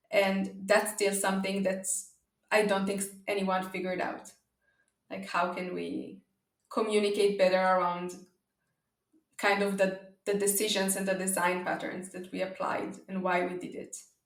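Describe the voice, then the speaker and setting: In a room with audible echo, a woman at medium pitch talks flatly in a monotone at a moderate pace, with long, frequent pauses. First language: not English (English is third language). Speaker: data observability company founder. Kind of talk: podcast interview. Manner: hesitant, many fillers.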